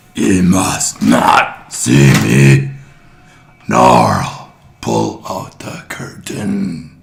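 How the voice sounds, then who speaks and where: A man uses a put-on character voice, raspy and very deep in pitch, speaking at a very slow pace with long, frequent pauses and audible echo. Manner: snapping.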